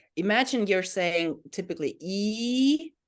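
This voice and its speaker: A woman speaks with a Finnish accent. Her intonation is lively. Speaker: language teacher. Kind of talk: tutorial. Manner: hesitant.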